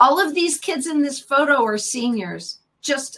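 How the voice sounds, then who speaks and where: A woman's high-pitched, bright, sharp voice with very wide pitch swings, at a fairly slow pace. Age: 50s. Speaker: psychotherapist. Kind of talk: interview.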